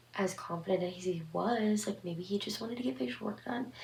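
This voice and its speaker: Noticeable background noise is present. A woman talks at a medium pitch. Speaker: horror story channel host. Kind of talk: casual commentary to camera.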